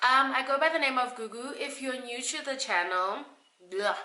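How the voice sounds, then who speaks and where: A woman talks at a fairly quick pace with a bright, sharp tone and lively intonation. Room echo is audible. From South Africa. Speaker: beauty youtuber. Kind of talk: casual vlog.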